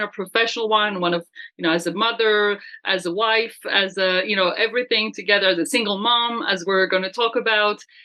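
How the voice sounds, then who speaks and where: With a French accent, a woman talks at a medium pitch with ordinary pitch variation. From France. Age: 50s. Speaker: business coach. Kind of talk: casual chat.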